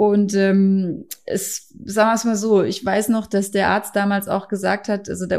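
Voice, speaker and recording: On a very clean recording with a silent background, a woman talks at a medium pitch and a fairly slow pace. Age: 40s. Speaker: mother and CMV awareness campaigner. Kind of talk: interview.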